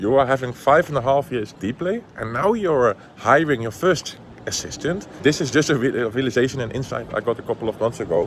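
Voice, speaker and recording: Over noticeable background noise, a man with a Dutch accent speaks at a medium pitch with lively intonation. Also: moderate pace. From Netherlands. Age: 20s. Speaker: entrepreneur. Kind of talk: casual vlog talk to camera.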